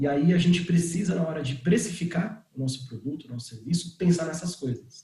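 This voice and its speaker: This is a man with an ordinary speaking voice. He talks at a moderate pace. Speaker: startup founder and CEO. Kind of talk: online talk on pricing.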